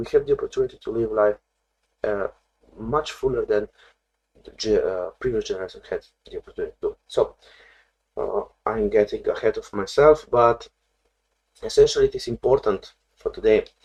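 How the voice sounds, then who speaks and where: Speaking at a fairly quick pace with long, frequent pauses, a man with a non-native accent is heard in a dry, close sound with no echo. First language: not English. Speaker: therapist. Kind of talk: video lesson on therapy. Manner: halting, many fillers.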